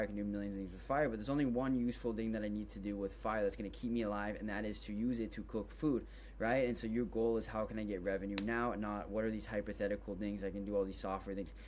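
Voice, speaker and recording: Talking at a very fast pace with hardly any pauses, a man is heard with audible room echo. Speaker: business tutorial creator. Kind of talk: tutorial. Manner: casual, filler-heavy.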